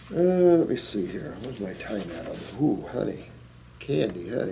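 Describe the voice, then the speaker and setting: In an American accent, a man with a medium pitch swings his pitch very widely as his voice echoes audibly around the room. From US Midwest, Indiana. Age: 60s. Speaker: naturopath answering viewer questions. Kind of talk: Q&A reading and answering letters. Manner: animated.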